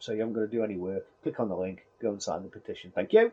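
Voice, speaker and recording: This man has a dark, mellow tone. He talks at a very fast pace. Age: 50s. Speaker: YouTuber. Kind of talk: casual vlog monologue. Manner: rambling with frequent fillers.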